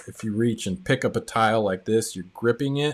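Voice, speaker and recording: On a very clean recording with a silent background, a plain, everyday voice speaks with ordinary pitch variation. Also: man. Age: 40s. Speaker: tile contractor and coach hosting live stream. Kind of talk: live stream chat reading viewer comments. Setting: live stream. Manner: casual, filler-heavy.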